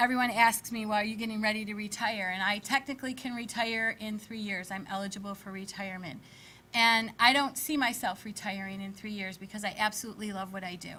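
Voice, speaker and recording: Bright and sharp in tone, a woman talks at a fairly quick pace with fairly even intonation and big swings in loudness. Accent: Rochester. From Fairport, New York (western New York). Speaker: teacher and school board candidate. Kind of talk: candidate statement.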